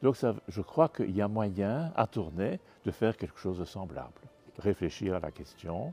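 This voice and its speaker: A man at a fairly slow pace and fairly low pitch with lively intonation, dry and close with no echo, over music in the background. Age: 70s. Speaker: bishop. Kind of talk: interview.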